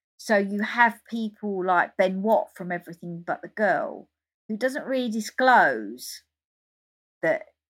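In a very clean recording with a silent background, a woman with an English accent and medium pitch speaks at a moderate pace with lively intonation. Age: 50s. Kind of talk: interview.

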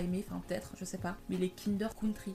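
A somewhat breathy woman's voice at medium pitch, flat and monotone. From Paris, France. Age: 20s. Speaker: podcast host. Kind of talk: casual monologue.

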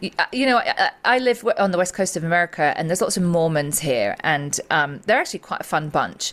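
A woman with an English accent speaks fairly quickly in a fairly low voice, with very wide pitch swings and hardly any pauses. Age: 40s. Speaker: psychotherapist and sobriety coach. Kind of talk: interview.

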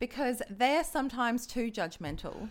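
A woman with a fairly high pitch speaks at a fairly slow pace in a very clean recording with a silent background. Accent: Australian. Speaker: dating app user, former radio traffic reporter. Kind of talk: casual chat. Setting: studio.

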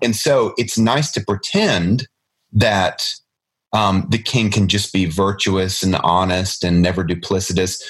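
This man has a normal speaking voice with a fairly low pitch and ordinary pitch variation. He talks at a fairly slow pace and keeps his loudness very even. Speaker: podcast host. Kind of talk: casual chat about literature.

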